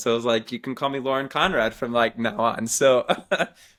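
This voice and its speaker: A man speaks at medium pitch and a moderate pace on a very clean recording with a silent background. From Texas, Waco. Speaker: music supervisor. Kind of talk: interview conversation. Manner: animated.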